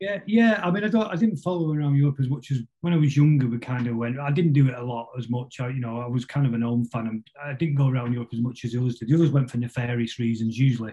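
In a Mancunian accent, a somewhat breathy man talks very fast with hardly any pauses. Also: medium pitch for a man, ordinary pitch variation. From northern England, Salford (Greater Manchester). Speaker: musician, band drummer. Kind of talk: casual interview chat.

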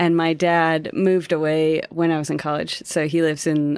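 Against a silent background on a very clean recording, a woman with an American accent speaks at a moderate pace in a very deep, low pitch with monotone, flat intonation. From Colorado, Denver. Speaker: ritual artist and herbal medicine maker. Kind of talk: casual interview conversation.

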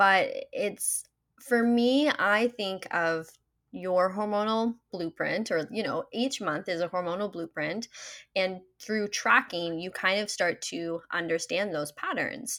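A woman speaks at a very slow pace, her pitch medium with ordinary variation. The recording is very clean, with a silent background. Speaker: menstrual health coach. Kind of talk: interview. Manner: calm, poised.

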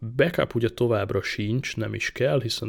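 A man speaks at a fairly quick pace with vocal fry. His intonation is fairly even. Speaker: tech podcast host. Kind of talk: casual tech chat.

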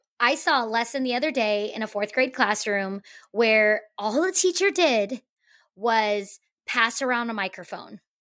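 A woman speaks loudly at a fairly slow pace, her voice fairly high with a bright, sharp tone. Her delivery is energetic and animated, with lively intonation. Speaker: teacher and podcast co-host. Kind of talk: casual conversational podcast chat. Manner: loud, energetic, animated.

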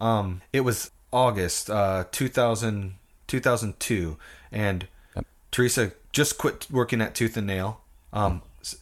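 Here is a normal speaking voice with an American accent and ordinary pitch variation. The recording is very clean, with a silent background. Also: man. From US Pacific Northwest. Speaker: musician and former pastor. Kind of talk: casual interview chat.

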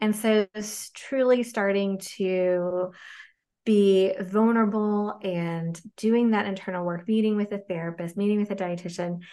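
The speaker has an ordinary speaking voice with fairly even intonation. The background is quiet. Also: woman. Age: 40s. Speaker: dietitian, clinical executive. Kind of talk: casual interview chat.

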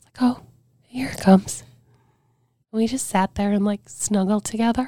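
A woman speaks at a moderate pace, somewhat breathy, with fairly even intonation. Her loudness swings widely. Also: fairly high pitch for a woman, dry, close sound with no echo. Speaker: former radio personality and cancer patient. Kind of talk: casual interview conversation. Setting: in person, same room.

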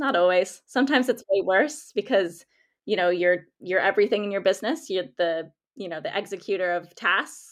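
A woman with an American accent has an ordinary speaking voice at medium pitch, with ordinary pitch variation. She talks at a fairly quick pace against a quiet background. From United States. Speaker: freelance content writer. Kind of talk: interview conversation.

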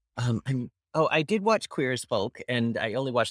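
In an American accent, a man uses an unremarkable speaking voice at a medium pitch with lively intonation, in a dry, close sound with no echo. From Pennsylvania. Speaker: TV producer and host. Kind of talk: casual chat.

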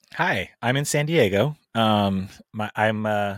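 In a very clean recording with a silent background, a man speaks with an American accent. The sound is dry and close with no echo, and his pitch varies in an ordinary way. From Southern California. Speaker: punk singer and chef. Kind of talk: casual interview chat.

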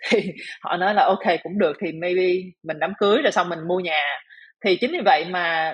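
A woman talks at a moderate pace. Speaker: hotel manager and coach. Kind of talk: casual interview. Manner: halting.

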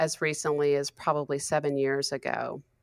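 A woman with a very deep, low-pitched voice. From US South, Western North Carolina. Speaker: author and creativity coach. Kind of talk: interview.

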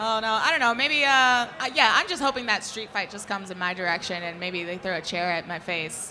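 Someone with an American accent talks at a fairly quick pace with lively intonation over noticeable background noise. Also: woman, medium pitch for a woman. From New York. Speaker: wrestling fan. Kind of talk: live podcast casual chat. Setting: stage with audience. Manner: excitable; loud.

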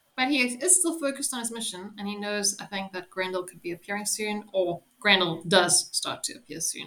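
A woman with an unremarkable speaking voice talks at a medium pitch and a fairly quick pace. Her loudness swings widely, and she hardly pauses. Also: lively intonation. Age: 20s. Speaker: podcast host. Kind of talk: casual chat.

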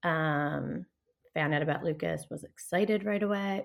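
Vocal fry with an American accent and ordinary pitch variation, on a very clean recording with a silent background. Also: woman. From Philadelphia, Pennsylvania. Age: 30s. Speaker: hairstylist and bereaved mother. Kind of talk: personal testimony in casual interview.

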